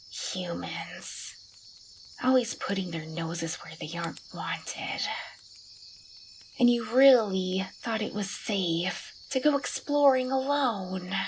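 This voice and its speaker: A woman puts on a gruff character voice at a medium pitch, speaking very slowly. Light background noise sits behind her. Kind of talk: ASMR roleplay. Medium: audio drama. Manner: grumpy, gruff, soft-spoken.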